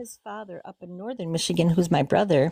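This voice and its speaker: A woman's fairly low, dark, mellow voice with vocal fry, at a moderate pace, in a dry, close sound with no echo. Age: 60s. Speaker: witness caller, teacher. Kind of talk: live call-in interview telling a story. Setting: live stream call. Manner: halting.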